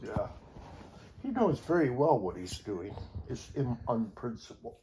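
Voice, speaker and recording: The voice is somewhat breathy and dark, mellow in tone, moving at a fairly slow pace with very wide pitch swings. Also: man, medium pitch for a man. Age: 70s. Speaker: Unificationist church member. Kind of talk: casual religious teaching in family conversation.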